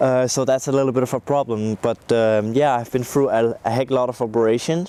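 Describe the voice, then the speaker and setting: This man's voice has a dark, mellow tone at a medium pitch. He moves at a fairly quick pace with fairly even intonation. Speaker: music producer. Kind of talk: interview testimony. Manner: halting, many fillers.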